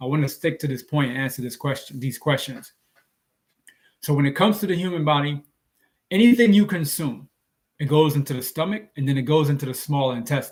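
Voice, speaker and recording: Lively intonation and a somewhat breathy quality come through at a fairly quick pace, broken by long, frequent pauses. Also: man, fairly high pitch for a man. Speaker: health and diet vlogger. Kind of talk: live stream Q&A talk. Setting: live stream on social media.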